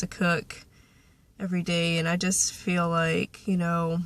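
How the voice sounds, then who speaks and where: This woman's voice sits fairly low in pitch. It comes across somewhat breathy. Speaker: vlogger. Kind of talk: casual chat.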